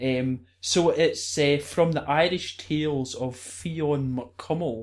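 A Scottish accent at a very slow pace, with fairly even intonation. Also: man, fairly high pitch for a man. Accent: Scottish, rolls R's. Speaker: druid. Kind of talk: interview, storytelling. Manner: hesitant, many fillers.

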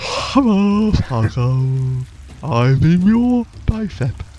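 A put-on character voice at a middle pitch and a very slow pace, over light background noise. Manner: menacing, playful.

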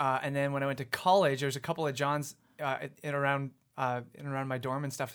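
A man with a Canadian accent and a plain, everyday voice, fairly high in pitch with fairly even intonation, in a very clean recording with a silent background. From Canada, British Columbia (Abbotsford). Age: 30s. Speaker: worship pastor. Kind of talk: casual chat.

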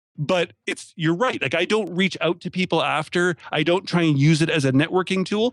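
In a dry, close sound with no echo, a high-pitched man talks at a moderate pace with hardly any pauses and ordinary pitch variation. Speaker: podcaster. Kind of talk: casual interview chat.

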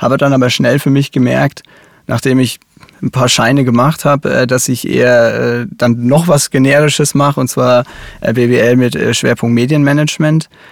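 In a Franconian accent, a man speaks at a medium pitch with fairly even intonation and very even loudness, the sound dry and close with no echo. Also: moderate pace. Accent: Franconian, rolled R. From Upper Franconia, Germany (near Kulmbach). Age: 30s. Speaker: cosmetics company digital executive. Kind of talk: interview. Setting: studio.

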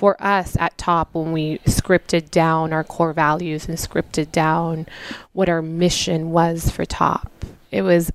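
In a normal speaking voice, a woman talks at a fairly slow pace with a fairly low pitch. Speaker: winery owner. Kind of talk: casual interview chat.

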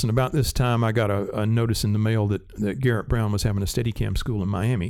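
Someone with a Southern US accent talks at a very fast pace, the intonation fairly even. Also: man. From US South, rural South Carolina. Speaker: cinematographer, former Steadicam operator. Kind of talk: interview.

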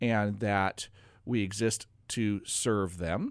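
A man with an American accent speaks in an ordinary speaking voice, his pitch fairly low with ordinary variation, on a very clean recording with a silent background. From Oregon. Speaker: financial advisor and radio host. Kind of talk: casual radio talk show. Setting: radio studio.

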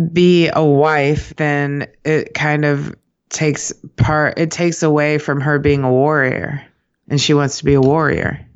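With a slight New York accent, a woman speaks at a fairly slow pace. Her pitch is very deep and low, and her loudness stays very even. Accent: sounds a bit like a New Yorker. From US Midwest, Kansas City. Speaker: podcast co-host. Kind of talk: casual chat.

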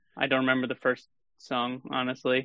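A man's normal speaking voice at a medium pitch, fairly quick, with an American accent. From Sheboygan, Wisconsin. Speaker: film composer. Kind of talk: casual chat.

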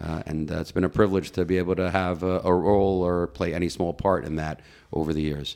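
Speaking at a very fast pace, a man with an American accent has a very deep, low pitch and a monotone, flat intonation. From US Northeast (Teaneck, New Jersey). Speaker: rabbi and youth organization director. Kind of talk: interview conversation.

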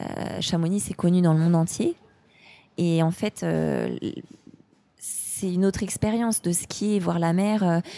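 A woman's fairly low, dark, mellow voice at a very slow pace, with fairly even intonation and long, frequent pauses. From France, Haute-Savoie. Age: 30s. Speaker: outdoor sports enthusiast. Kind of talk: casual interview.

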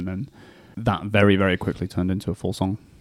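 A man with a northern English accent, fairly low pitch, fairly quick pace and fairly even intonation. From northern England, Warrington. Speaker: rock guitarist and singer. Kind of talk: radio interview. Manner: hesitant.

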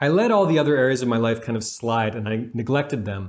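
A man speaks in an ordinary speaking voice at a fairly quick pace, his intonation lively against a quiet background. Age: 30s. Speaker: relationship coach and YouTuber. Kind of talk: video monologue giving advice.

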